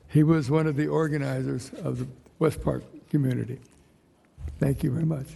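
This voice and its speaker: A man at a fairly quick pace, with long, frequent pauses and audible room echo. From Ventura, California. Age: 80s+. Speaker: public commenter, local business owner. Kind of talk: public comment at city council meeting. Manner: halting.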